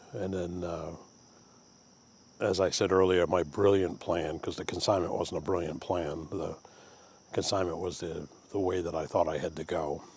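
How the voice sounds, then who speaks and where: A man speaks in a Maine accent at a moderate pace, leaving long, frequent pauses. His tone is relaxed, his pitch very deep and low, his intonation monotone and flat. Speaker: woodturner and craft vlogger. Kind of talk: casual vlog monologue. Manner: relaxed, with frequent fillers.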